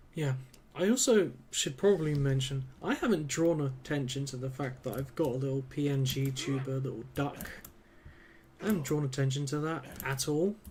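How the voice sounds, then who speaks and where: A somewhat breathy man's voice, fairly high in pitch for a man, with ordinary pitch variation. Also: moderate pace. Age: 20s. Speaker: video game streamer. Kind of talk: live gameplay commentary. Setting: live stream. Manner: casual, rambling with fillers.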